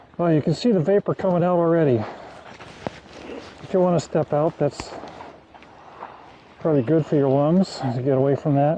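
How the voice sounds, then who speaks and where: A man's fairly high voice with lively intonation at a moderate pace, against noticeable background noise. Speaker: backyard beekeeper. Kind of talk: tutorial.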